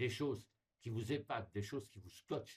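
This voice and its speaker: A somewhat breathy man's voice at a medium pitch and moderate pace, with ordinary pitch variation. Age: 60s. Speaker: explorer and writer appealing to followers. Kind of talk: direct-to-camera appeal. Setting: recorded video at home, not live. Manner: animated, emphatic.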